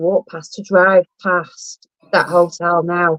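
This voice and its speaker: The speaker talks at a very slow pace in a Lancashire accent. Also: woman. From northern England, Blackpool. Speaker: live stream host. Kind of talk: casual chat. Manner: animated.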